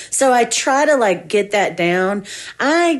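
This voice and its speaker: With a strong Southern accent, a woman speaks in very wide pitch swings. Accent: thick Southern. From US South, Georgia. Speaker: musician and music teacher. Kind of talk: casual interview.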